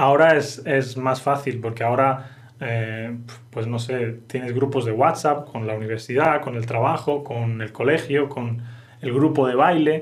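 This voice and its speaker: Speaking in a Castilian accent, a man sounds somewhat breathy, with fairly even intonation at a fairly slow pace and audible room echo. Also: medium pitch for a man. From Spain. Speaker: Spanish teacher. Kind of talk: language lesson podcast.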